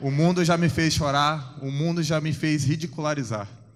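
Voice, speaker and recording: There's audible room echo here. A man talks at a moderate pace. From São Vicente, São Paulo coast, Brazil. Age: 30s. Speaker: football goalkeeper giving testimony. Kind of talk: church testimony. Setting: church service with congregation.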